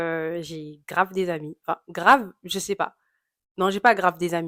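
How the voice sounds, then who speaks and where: Speaking at a fairly slow pace, a woman with a fairly low pitch keeps her intonation fairly even while her loudness swings widely. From Congolese heritage (both parents). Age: 20s. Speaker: YouTuber. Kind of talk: Q&A vlog, casual. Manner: casual, many filler hesitations.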